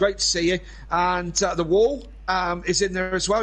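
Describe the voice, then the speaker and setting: A man with a Cornish accent speaks at a high pitch and a moderate pace. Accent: Cornish twang. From Cornwall, England. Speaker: sim racing commentator. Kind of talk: live commentary. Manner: hesitant, many fillers.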